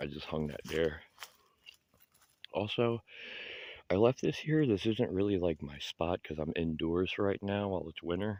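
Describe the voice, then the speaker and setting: Quiet and fairly slow, the speech has ordinary pitch variation and long, frequent pauses. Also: man. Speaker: homeless vlogger. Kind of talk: casual vlog walkthrough. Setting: outdoors in woods. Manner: quiet, low voice.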